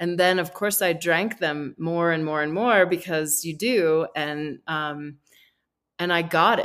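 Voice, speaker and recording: Talking at a fairly slow pace, a woman uses a plain, everyday voice with fairly even intonation. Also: fairly low pitch for a woman. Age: 50s. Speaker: rum distiller and distillery founder. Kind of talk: casual interview.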